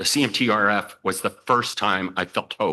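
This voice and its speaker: Against a quiet background, a man with a fairly low pitch talks at a moderate pace in a bright, sharp tone. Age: 60s. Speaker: patient advocate. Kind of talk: testimony. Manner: halting, many fillers.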